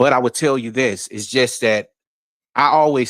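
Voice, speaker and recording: A man speaks at medium pitch and a moderate pace, with ordinary pitch variation. The recording is very clean, with a silent background and a dry, close sound with no echo. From New York. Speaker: livestream panelist. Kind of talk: casual livestream discussion.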